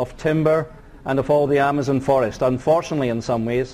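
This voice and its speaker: A man talks at a very fast pace with a Scottish accent. His pitch sits fairly high. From Scotland. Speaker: mining company executive. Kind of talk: corporate presentation. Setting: conference stage with audience.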